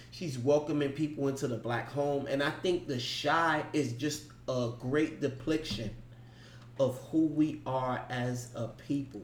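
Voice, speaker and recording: A man's ordinary speaking voice, medium in pitch, at a fairly slow pace with fairly even intonation. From New York. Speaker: podcast co-host. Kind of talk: casual chat.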